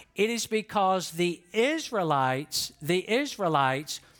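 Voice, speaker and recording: At a very slow pace, the speaker uses a Southern US accent on a very clean recording with a silent background. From US South. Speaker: pastor. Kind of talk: sermon. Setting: church.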